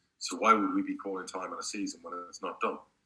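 A man talks at a very fast pace. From Spain. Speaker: football club owner. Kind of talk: casual interview.

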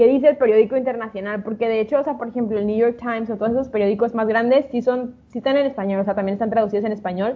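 A woman with a fairly high voice talks very fast in a fairly even tone, with hardly any pauses. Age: 20s. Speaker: podcast co-host. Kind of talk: casual chat.

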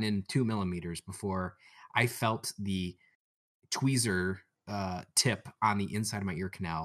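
A man with a Michigan accent speaks at a moderate pace and a fairly low pitch. The sound is dry and close, with no echo. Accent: Michigan American. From Michigan, near Detroit. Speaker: engineer, podcast co-host. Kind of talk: casual chat. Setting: video call.

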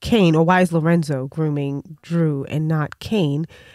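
The speaker has an ordinary speaking voice. The recording is very clean, with a silent background. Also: woman. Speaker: podcast host. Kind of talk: casual interview chat.

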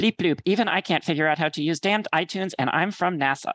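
The voice is a man's put-on character voice, pitched high. He talks at a very fast pace. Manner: calm, jokey.

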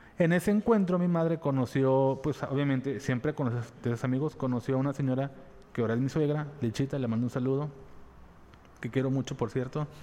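This man has a dark, mellow tone. He talks at a fairly quick pace. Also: medium pitch for a man, ordinary pitch variation. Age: 30s. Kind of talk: casual chat.

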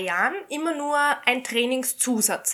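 A woman speaks at a very slow pace in a raised, projected voice with a high pitch. Her tone is bright and sharp, and her intonation is lively. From Austria. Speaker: shooting instructor. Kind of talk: casual chat.

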